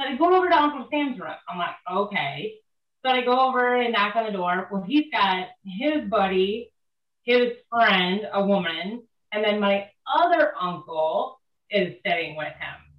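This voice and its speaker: A woman at a medium pitch and fairly slow pace, with very wide pitch swings and big swings in loudness. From Northwest Ohio. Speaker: horse trainer. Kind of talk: casual chat.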